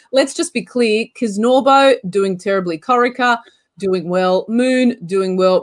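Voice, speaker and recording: A woman with an Australian accent speaks fairly slowly, her intonation lively. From Australia, Canberra. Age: 30s. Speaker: football show host. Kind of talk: casual chat.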